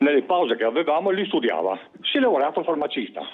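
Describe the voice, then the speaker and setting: Very fast and animated, a man speaks with very wide pitch swings. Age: 70s. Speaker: caller. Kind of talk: phone-in complaint. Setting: phone call.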